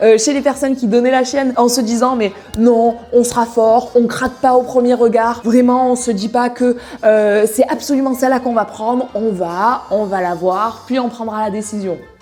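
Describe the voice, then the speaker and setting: Noticeable background noise sits behind a woman's high voice. Her tone is animated, with ordinary pitch variation. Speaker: equestrian YouTuber. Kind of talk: casual vlog. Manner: fast.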